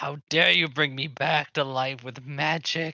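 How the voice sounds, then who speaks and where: A man uses a put-on character voice. His pitch is fairly high. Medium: actual play. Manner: sluggish, disoriented.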